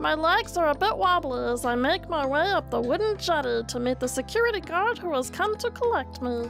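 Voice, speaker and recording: A woman speaks at a fairly quick pace in a cartoonish character voice, with loud music playing in the background. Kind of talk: comic cartoon voice impression. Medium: game stream. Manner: dry, deadpan inner narration.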